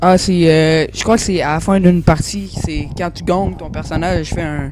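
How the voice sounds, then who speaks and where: The speaker talks at a moderate pace in a Quebec accent, with noticeable background noise behind the voice. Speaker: gaming youtuber. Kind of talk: game review commentary. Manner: hesitant, many fillers.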